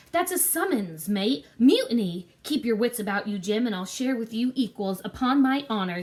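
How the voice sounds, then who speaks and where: A woman puts on a character voice that is growling and croaky at a fairly high pitch. She keeps a moderate pace with hardly any pauses. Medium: read story. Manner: gruff, commanding, suspicious.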